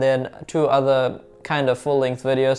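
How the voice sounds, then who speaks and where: Fairly high male voice at a moderate pace, with music in the background. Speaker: car repair YouTuber. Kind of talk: casual vlog talk to camera. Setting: home desk setup with camera. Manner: animated.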